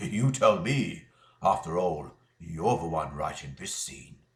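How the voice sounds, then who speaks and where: In a put-on character voice, a man speaks at a fairly slow pace with a very deep, low, raspy pitch, very wide pitch swings, and big swings in loudness. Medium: read story.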